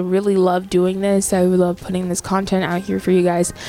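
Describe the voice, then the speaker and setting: Over music in the background, a woman speaks at a fairly quick pace in a monotone, flat intonation. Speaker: podcast host and DJ. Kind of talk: radio DJ patter, podcast host intro. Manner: chatty, casual, filler-heavy.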